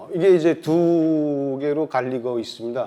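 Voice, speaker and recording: A man in a strong Pyongan accent, very slow, fairly high in pitch with ordinary variation, over a quiet background. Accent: North Korean Pyongan dialect, still strong. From North Korea, South Pyongan province. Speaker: researcher, North Korean agriculture expert. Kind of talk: lecture. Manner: hesitant, many fillers.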